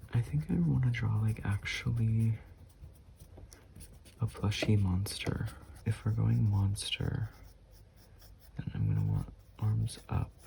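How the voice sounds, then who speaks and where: The speaker has a calm tone, a very slow pace and long, frequent pauses, with noticeable background noise behind the voice. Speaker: artist, sketchbook YouTuber. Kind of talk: casual talk to camera while drawing. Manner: soft-spoken, calm.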